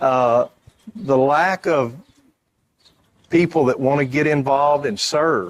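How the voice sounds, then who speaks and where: Very slow speech in a Texan accent comes with very even loudness, ordinary pitch variation, and long, frequent pauses. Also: man, fairly high pitch for a man. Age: 60s. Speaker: reunion committee member. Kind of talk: interview. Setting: event center pavilion.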